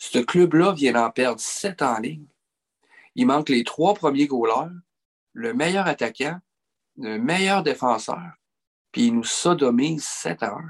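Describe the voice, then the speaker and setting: The speech is very slow, with very wide pitch swings and long, frequent pauses. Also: man, fairly high pitch for a man. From Quebec. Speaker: hockey podcast co-host. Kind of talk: casual chat.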